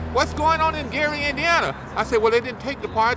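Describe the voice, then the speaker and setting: Raised, projected male voice, very fast and lively in intonation, over noticeable background noise. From Arkansas. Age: 70s. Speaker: local elected official. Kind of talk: street interview. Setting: outdoors on a city street.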